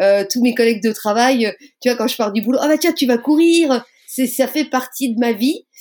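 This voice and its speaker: This is a plain, everyday voice, and its pitch varies in an ordinary way. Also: woman. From Lorraine, France (Moselle, near Metz). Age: 40s. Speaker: police officer and amateur runner. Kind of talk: podcast interview.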